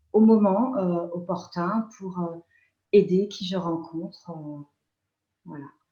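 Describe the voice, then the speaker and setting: The voice is somewhat breathy, with a dark, mellow tone. It moves at a very slow pace. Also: woman. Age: 60s. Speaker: nurse and energy healer. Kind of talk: interview. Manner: halting.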